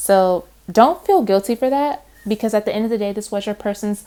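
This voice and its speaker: A woman speaks at a fairly quick pace with ordinary pitch variation. The recording is very clean, with a silent background. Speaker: tarot reader. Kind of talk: tarot reading monologue. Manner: fast; casual, animated.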